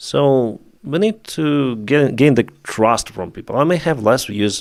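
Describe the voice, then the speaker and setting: A man speaks in a Ukrainian accent at a medium pitch. The recording is very clean with a silent background. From Ukraine. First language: Russian. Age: 30s. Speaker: YouTube war news commentator. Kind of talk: live stream chat. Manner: halting.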